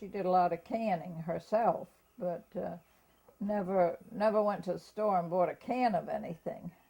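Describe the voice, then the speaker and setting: A woman with an American accent speaks at a medium pitch in a somewhat breathy voice with a dark, mellow tone. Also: fairly even intonation, moderate pace. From Germantown, US. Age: 90s. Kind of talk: oral history interview. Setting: at home. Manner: halting.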